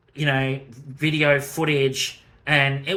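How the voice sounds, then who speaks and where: With an Australian accent, a man speaks at a very slow pace in a fairly high pitch with monotone, flat intonation. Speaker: gaming youtuber. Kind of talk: casual video commentary. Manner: hesitant, many fillers.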